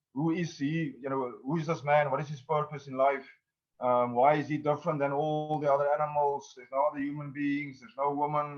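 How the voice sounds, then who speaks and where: Music plays in the background while a man talks at a fairly quick pace with a non-native accent. His intonation is monotone and flat, with big swings in loudness. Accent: foreign accent when speaking English. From South Africa. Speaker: actor and independent filmmaker. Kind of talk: interview. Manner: hesitant, many fillers.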